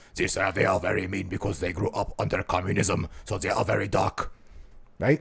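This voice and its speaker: The speaker uses a put-on character voice at a fairly quick pace. Pitch varies in an ordinary way. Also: man, very deep, low pitch for a man. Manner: dark, stern, menacing.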